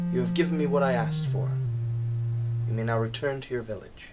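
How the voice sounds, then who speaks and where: A man puts on a character voice, soft-spoken at a medium pitch. He talks at a very fast pace over loud background noise. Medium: solo performance. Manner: insistent, commanding.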